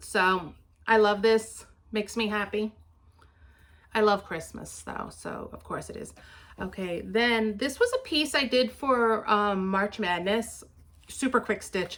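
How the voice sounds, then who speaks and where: A woman with a New York accent, fairly high pitch, ordinary pitch variation, a fairly slow pace and long, frequent pauses. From New York City (Queens). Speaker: craft vlogger. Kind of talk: casual show-and-tell vlog.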